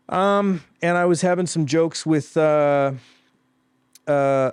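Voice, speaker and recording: Against a quiet background, a man with a western Canadian accent speaks at a very slow pace with a fairly high pitch and fairly even intonation. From Vancouver Island, Canada. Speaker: comedian. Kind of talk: casual chat. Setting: studio.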